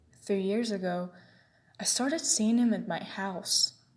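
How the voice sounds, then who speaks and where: A somewhat breathy, fairly high-pitched woman's voice at a fairly slow pace, with ordinary pitch variation. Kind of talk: horror story narration.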